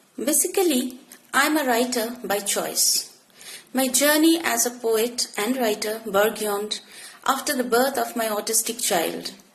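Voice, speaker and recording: Speaking at a fairly slow pace with a Bengali accent, this voice shows ordinary pitch variation over noticeable background noise. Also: woman, fairly high pitch for a woman. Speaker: poet. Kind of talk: interview. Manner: formal.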